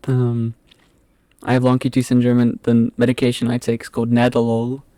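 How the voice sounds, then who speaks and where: This man has a medium pitch and a dark, mellow tone. The sound is dry and close, with no echo. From England, southwest London (Epsom). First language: Afrikaans. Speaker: podcast guest. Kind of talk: casual chat. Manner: halting.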